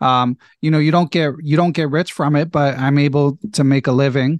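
Against a quiet background, a man with a Philadelphia accent and fairly high pitch speaks with fairly even intonation, the sound dry and close with no echo. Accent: American (Philadelphia). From US, Philadelphia. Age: 40s. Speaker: chess podcast host, national master. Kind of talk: casual interview.

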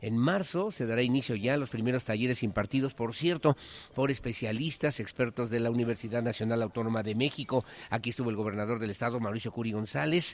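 A man's very fast speech at a medium pitch, with ordinary pitch variation. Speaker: radio news anchor. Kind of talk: news reading. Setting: live broadcast on location.

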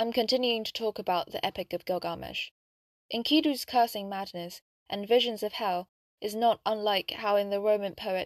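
Dry and close with no echo, a woman's plain, everyday voice moves at a fairly quick pace with medium pitch and fairly even intonation. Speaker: podcast narrator. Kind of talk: history documentary narration, scripted storytelling. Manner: measured, solemn, even-paced.

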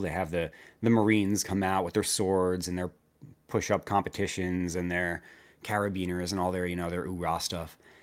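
A man with an American accent speaks in a very deep, low pitch with fairly even intonation. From New Jersey. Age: 30s. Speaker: army veteran and finance YouTuber. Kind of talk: casual interview chat.

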